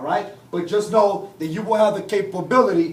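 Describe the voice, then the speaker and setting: Very fast speech with audible room echo and noticeable background noise. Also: man. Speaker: software trainer. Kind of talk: training class.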